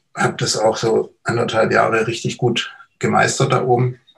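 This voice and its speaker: The man's medium-pitched voice keeps a moderate pace. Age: 50s. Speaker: recovered addict, hypnotherapist. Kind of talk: personal testimony interview.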